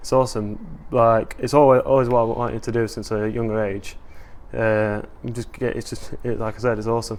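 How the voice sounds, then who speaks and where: A man's medium-pitched voice, monotone and flat in intonation, at a fairly quick pace. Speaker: academy rugby player. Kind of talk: interview.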